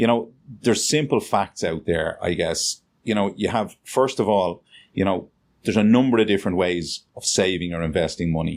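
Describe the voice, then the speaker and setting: With a Dublin accent, a man speaks at a moderate pace on a very clean recording with a silent background. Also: fairly low pitch for a man, ordinary pitch variation. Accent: Dublin Irish. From Dublin, Ireland. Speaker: financial planner. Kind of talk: interview answer.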